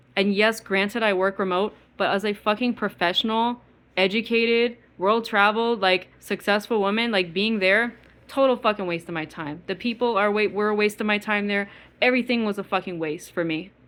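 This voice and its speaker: Speaking at a medium pitch, a woman talks with an East Coast US accent. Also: fairly quick pace. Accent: East Coast twang. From US Midwest. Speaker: vlogger. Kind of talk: angry rant monologue. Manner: fast; animated.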